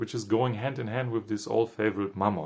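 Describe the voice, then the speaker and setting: A man talks with a non-native accent. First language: not English. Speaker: spiritual commentator. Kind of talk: reflective monologue. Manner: halting.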